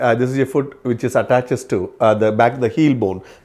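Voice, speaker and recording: On a very clean recording with a silent background, a man with a dark, mellow tone speaks at a medium pitch and a fairly quick pace. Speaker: physiotherapist. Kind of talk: educational talk with slides. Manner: hesitant with frequent uh fillers.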